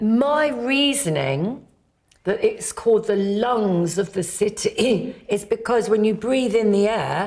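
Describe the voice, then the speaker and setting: Very slowly, a woman with a British accent speaks in a fairly high pitch with lively intonation. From Britain. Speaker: quiz contestant. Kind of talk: casual chat.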